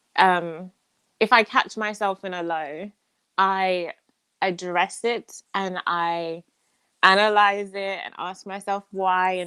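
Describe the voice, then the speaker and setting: A woman with an English accent speaks in a medium pitch with a bright, sharp tone and monotone, flat intonation. The sound is dry and close, with no echo. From England. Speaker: musical theatre performer. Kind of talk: interview answer.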